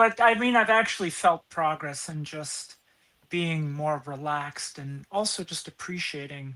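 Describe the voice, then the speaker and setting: In an American accent, a woman with a very deep, low pitch and a bright, sharp tone speaks at a fairly slow pace, with lively intonation and big swings in loudness. The recording is very clean, with a silent background. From US Upper Midwest, central Minnesota farm. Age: 60s. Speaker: comedian. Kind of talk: interview.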